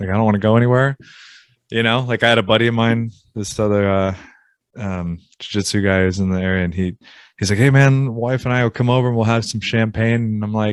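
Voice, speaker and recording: A man speaks very fast with an American accent, his pitch medium and his intonation fairly even. The recording is very clean, with a silent background. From Southern California, then Virginia from teens. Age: 40s. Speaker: apparel company owner, jiu-jitsu practitioner. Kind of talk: casual podcast interview.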